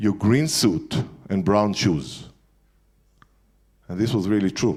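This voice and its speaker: A man speaks with an Israeli accent. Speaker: entrepreneur speaker. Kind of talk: lecture. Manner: halting.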